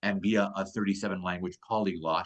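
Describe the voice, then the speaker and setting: Fairly low for a man, this voice moves at a fairly quick pace, heard dry and close with no echo. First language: Polish. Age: 30s. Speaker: magician. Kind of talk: casual chat. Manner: animated.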